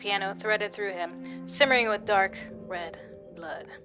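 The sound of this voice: The clip has an unforced reading voice. Pitch moves up and down in an ordinary way.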